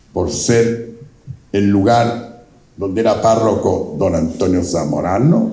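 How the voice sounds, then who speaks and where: A man talks at a fairly low pitch. Audible room echo and noticeable background noise surround him. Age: 80s+. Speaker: invited speaker, elder local historian. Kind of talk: public talk to an audience.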